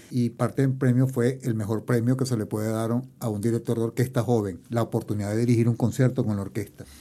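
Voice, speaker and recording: A man with a dark, mellow tone speaks at a medium pitch. His pace is fairly quick and his intonation fairly even. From Venezuela, Barquisimeto (Lara). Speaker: orchestra conductor. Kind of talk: interview. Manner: formal.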